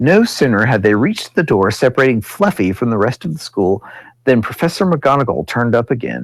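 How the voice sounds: A natural reading voice carries the words from start to finish.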